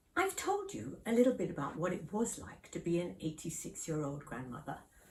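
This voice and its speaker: Noticeable background noise and audible room echo surround the woman as she talks. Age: 80s+. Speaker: elderly vlogger. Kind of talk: casual vlog talk.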